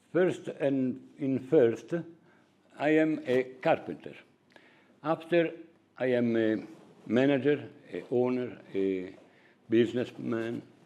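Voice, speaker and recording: A man's very slow speech in an Italian accent, dark and mellow in tone, with ordinary pitch variation and long, frequent pauses. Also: medium pitch for a man. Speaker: carpenter and company owner. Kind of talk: corporate presentation. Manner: halting.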